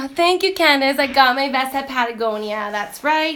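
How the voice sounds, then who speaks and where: Loud and high-pitched, a woman talks at a moderate pace with a bright, sharp tone. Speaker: teacher and lifestyle vlogger. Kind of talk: casual chat. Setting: Instagram live stream. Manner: loud and outgoing; chatty, many fillers.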